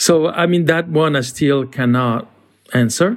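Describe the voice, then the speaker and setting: A man speaks with a French accent at a fairly slow pace. His pitch is fairly high, with ordinary variation. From France. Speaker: creative director. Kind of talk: interview. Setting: video call.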